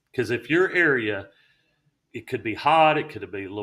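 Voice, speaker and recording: In a Southern accent, a man speaks at a moderate pace and medium pitch with ordinary pitch variation. His tone is bright and sharp, and the recording is very clean with a silent background. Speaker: realtor. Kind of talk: casual chat.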